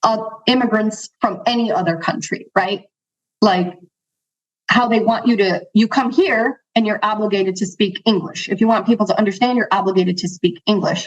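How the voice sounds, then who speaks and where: A somewhat breathy woman at a fairly high pitch, moderate pace and ordinary pitch variation. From Chicago, US, Central American parents. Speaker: financial advisor. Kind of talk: interview conversation.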